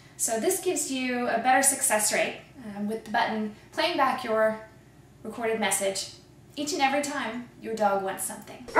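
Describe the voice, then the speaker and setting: A woman's fairly high voice moves at a moderate pace, with noticeable background noise behind it. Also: lively intonation. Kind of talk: TV commercial read.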